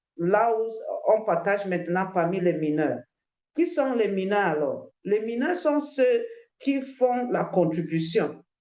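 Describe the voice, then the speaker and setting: A woman speaks at a medium pitch with very wide pitch swings. Her pace is very slow. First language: English (speaking French). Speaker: crypto promoter. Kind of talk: sales pitch. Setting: video call. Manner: halting, many hesitations.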